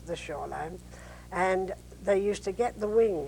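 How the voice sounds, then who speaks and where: A woman with an East London accent, at a moderate pace. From East End of London, England. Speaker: war veteran, war bride. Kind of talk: interview answer.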